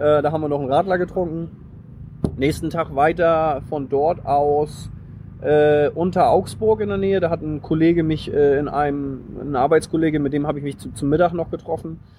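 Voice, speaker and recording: Noticeable background noise sits behind a man's fairly high voice. He talks at a moderate pace with ordinary pitch variation. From northern Germany, Flensburg. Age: 30s. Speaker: long-distance cyclist on tour. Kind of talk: casual interview. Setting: recorded on location near a church.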